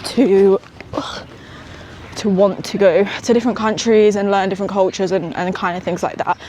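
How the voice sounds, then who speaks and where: With a West Midlands accent, a woman speaks at a medium pitch and moderate pace, her intonation fairly even, over noticeable background noise. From England, West Midlands (small town near Birmingham). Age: 20s. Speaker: entrepreneur vlogger. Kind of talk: casual vlog. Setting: outdoors, walking in park. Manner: casual, hesitant with fillers.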